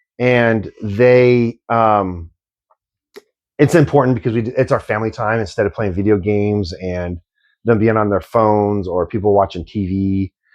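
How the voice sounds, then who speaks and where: A man mumbles at a moderate pace. His pitch is fairly low, with ordinary variation. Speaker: podcast co-host. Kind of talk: casual chat. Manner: mumbling.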